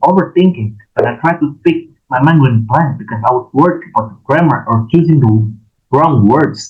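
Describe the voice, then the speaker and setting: A man with an Indonesian accent at a moderate pace, music in the background. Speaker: university student. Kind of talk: class presentation. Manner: halting.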